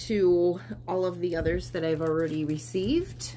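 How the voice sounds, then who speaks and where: A woman speaks at a fairly slow pace, and audible room echo surrounds her voice. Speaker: cross stitch and quilting vlogger. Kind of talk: casual show-and-tell vlog. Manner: hesitant, many fillers.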